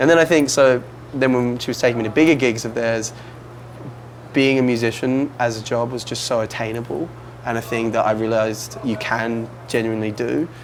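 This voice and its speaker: A man's medium-pitched voice with fairly even intonation over noticeable background noise. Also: fairly quick pace. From Australia, outside Melbourne. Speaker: musician. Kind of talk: interview. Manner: casual, uses 'like' a lot.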